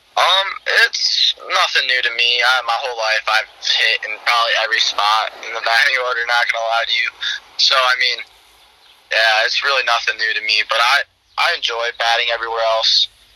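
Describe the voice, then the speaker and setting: Moderately paced speech from a man with an American accent, noticeable background noise behind it. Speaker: college baseball player. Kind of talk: interview.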